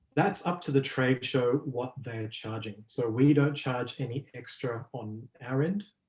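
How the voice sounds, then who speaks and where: Somewhat breathy, a man with an Australian accent talks with ordinary pitch variation. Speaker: business development executive. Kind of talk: webinar presentation with Q&A. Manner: hesitant with frequent fillers.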